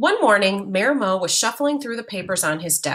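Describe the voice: Lively intonation over plain reading aloud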